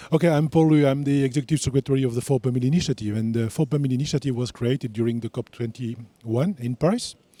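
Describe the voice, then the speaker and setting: A man with a French accent talks at a very fast pace with hardly any pauses, a medium pitch and ordinary pitch variation. His tone is dark and mellow, with a dry, close sound and no echo. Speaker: international initiative executive. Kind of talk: panel discussion. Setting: stage with audience.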